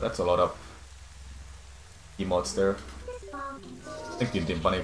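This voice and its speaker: Amid audible room echo and noticeable background noise, a man with a non-native accent and a very deep, low pitch speaks with long, frequent pauses. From Finland. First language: Finnish. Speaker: speedrunner and streamer. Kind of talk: live gameplay stream talk. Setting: live stream. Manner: halting.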